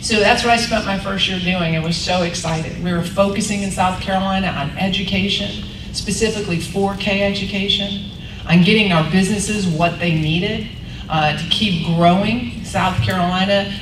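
Amid noticeable background noise, a woman at medium pitch speaks at a moderate pace with fairly even intonation. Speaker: politician. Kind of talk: luncheon speech and Q&A. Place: hall.

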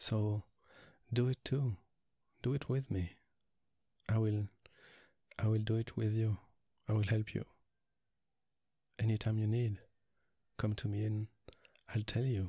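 Soft-spoken and somewhat breathy, a man with a French accent uses a fairly low pitch, a dark, mellow tone and monotone, flat intonation, with long, frequent pauses. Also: fairly slow pace, very even loudness, dry, close sound with no echo, very clean recording, silent background. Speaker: ASMR roleplay performer. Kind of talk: ASMR boyfriend roleplay. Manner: soft-spoken, relaxing; affectionate, reassuring.

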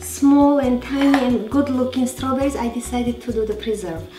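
Over clear background music, a woman with a high pitch speaks at a moderate pace. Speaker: cooking show host. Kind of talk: tutorial. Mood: cheerful, animated. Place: kitchen.

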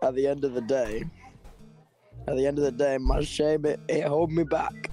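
With faint music in the background, a man speaks fairly slowly in a raspy, fairly high put-on character voice at very even loudness. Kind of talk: broken, simple grammar. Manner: clipped, primitive speech.

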